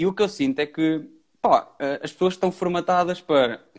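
Male speech captured in a very clean recording, the background completely silent. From Pombal, central Portugal. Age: 20s. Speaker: entrepreneur, digital marketer. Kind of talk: casual interview on a live stream.

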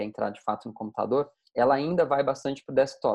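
A man with an unremarkable speaking voice, a fairly high pitch, ordinary pitch variation and a fairly quick pace. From Brazil, interior of Mato Grosso. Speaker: tech company founder and CEO. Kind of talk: casual interview.

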